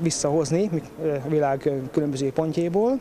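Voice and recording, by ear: A man's fairly high voice with a dark, mellow tone, over faint background noise.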